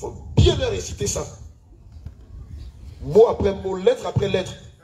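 The speaker talks at a moderate pace. Some room echo can be heard. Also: man. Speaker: pastor leading church service. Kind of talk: sermon. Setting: church. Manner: animated.

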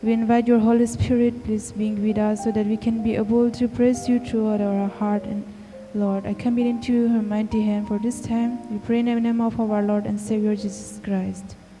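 A woman talks at a moderate pace with hardly any pauses. Her intonation is monotone and flat, over light background noise. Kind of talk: spoken prayer. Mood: reverent, gentle. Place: church. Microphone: handheld.

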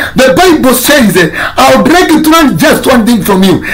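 At a moderate pace, a man speaks with an extremely high pitch and very wide pitch swings against light background noise. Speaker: pastor. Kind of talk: sermon. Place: home room. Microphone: phone near.

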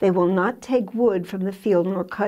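Speaking at a very slow pace, a woman has a dark, mellow tone and ordinary pitch variation. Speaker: Bible teacher. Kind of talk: Bible teaching talk. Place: studio. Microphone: lapel.

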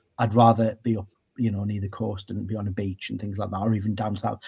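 In a North East England accent, a man speaks at a very fast pace in a fairly low, dark, mellow, somewhat breathy voice with monotone, flat intonation. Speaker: radio broadcaster. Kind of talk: interview answer. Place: home room.

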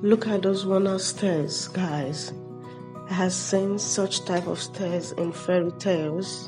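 Clear music plays in the background as a woman speaks at a very slow pace. Her pitch is fairly low, with ordinary pitch variation. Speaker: house exploration vlogger. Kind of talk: casual vlog commentary. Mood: amazed, excited. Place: home room. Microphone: phone near.

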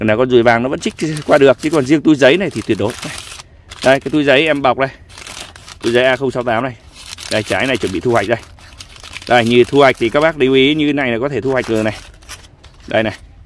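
A man talks at a very fast pace, yet with long, frequent pauses and ordinary pitch variation. The sound is dry with no echo, over light background noise. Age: 40s. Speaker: custard apple farmer. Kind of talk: casual orchard tutorial. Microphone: phone near.

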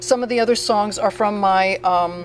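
A woman speaks at a fairly slow pace. There is music in the background. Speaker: interviewee. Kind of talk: interview answer. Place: bar. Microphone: handheld.

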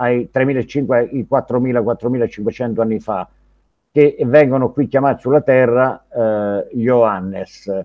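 A man speaks very slowly while the background stays quiet. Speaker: ufology researcher; guest. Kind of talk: interview. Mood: reflective, earnest. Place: home room. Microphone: earbuds.

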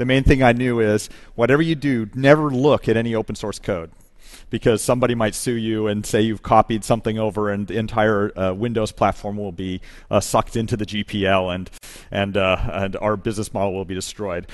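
In a quiet background, a man with a normal speaking voice talks at a fairly quick pace, using a fairly low pitch and ordinary pitch variation. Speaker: conference speaker. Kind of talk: conference talk. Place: stage. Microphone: headset.

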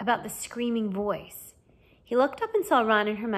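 What you hear is a natural reading voice.

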